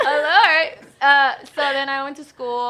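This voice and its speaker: Speaking with an American accent, a woman has a bright, sharp tone. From Houston, Texas. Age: 20s. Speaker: real estate businesswoman. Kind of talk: radio interview.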